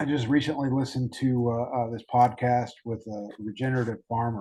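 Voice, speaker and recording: In a dark, mellow tone, a man with an American accent speaks at a fairly quick pace and medium pitch with monotone, flat intonation. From Alabama, US South. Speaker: podcast host. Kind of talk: casual interview chat. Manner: halting, many fillers.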